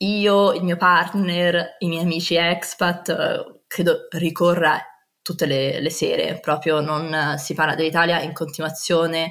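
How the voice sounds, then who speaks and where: Very slowly, a woman speaks in a fairly low voice. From Rome, Italy. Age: 20s. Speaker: landscape architect. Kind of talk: interview testimony. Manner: animated.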